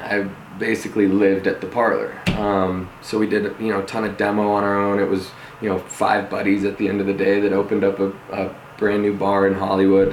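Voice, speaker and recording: There's noticeable background noise and audible room echo as a man with an American accent talks at a fairly quick pace. His fairly low voice stays monotone and flat. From Denver, Colorado. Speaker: reality TV contestant turned home builder. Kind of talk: interview.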